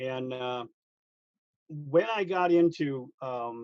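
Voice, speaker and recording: A man with an American accent and ordinary pitch variation, in a dry, close sound with no echo. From Michigan, Detroit area. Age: 60s. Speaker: pastor. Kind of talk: interview.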